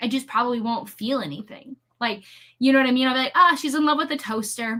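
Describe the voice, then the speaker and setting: A woman with an American accent speaks in a high pitch with a bright, sharp tone. Her voice is raised and projected. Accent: near-Canadian accent, noted on the word bag. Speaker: book youtuber. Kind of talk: casual chat.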